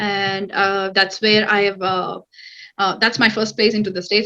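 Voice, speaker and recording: A woman speaks with a Telugu accent. Her tone is bright and sharp. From India, Hyderabad. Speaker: cybersecurity analyst. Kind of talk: interview. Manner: hesitant, many fillers.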